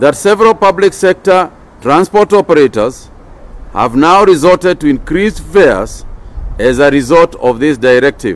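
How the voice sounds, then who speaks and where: Lively intonation marks this man's voice. He keeps to a moderate pace. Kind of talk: official press statement. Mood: firm, serious. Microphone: podium.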